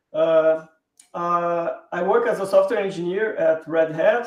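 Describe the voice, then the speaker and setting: With a Brazilian Portuguese accent, a man speaks in a high pitch and fairly even intonation. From southern Brazil, Porto Alegre. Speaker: software engineer, open source contributor. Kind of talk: live stream interview.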